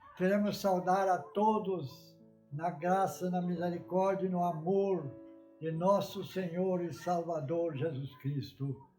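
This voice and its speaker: Over music in the background, a man with a high voice talks at a very slow pace with ordinary pitch variation. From Brazil. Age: 80s+. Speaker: Baptist preacher. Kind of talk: sermon.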